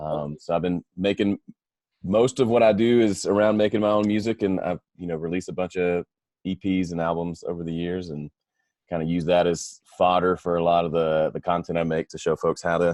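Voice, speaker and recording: Speaking in a Southern US accent, a man talks fairly quickly with a very deep, low pitch and fairly even intonation, the sound dry and close with no echo. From US South, Mississippi. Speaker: audio engineer and musician. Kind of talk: interview.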